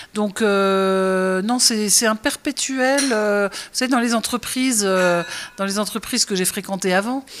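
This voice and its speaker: At a very slow pace and very even loudness, a woman speaks at medium pitch with ordinary pitch variation. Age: 60s. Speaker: restaurant chef and owner. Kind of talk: interview. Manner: hesitant, many fillers.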